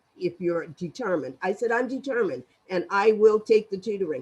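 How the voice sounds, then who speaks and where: Her voice has a medium pitch and a dark, mellow tone, coming from a woman. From Nova Scotia, North Preston. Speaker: panelist sharing life story. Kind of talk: panel discussion testimony. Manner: loud.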